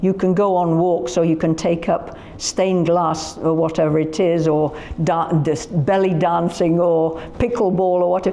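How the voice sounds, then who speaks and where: Over noticeable background noise, a woman with a Yorkshire accent and fairly low pitch speaks at a very even loudness. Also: moderate pace. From Yorkshire, northern England. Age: 80s+. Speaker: festival founder. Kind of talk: casual interview chat. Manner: animated.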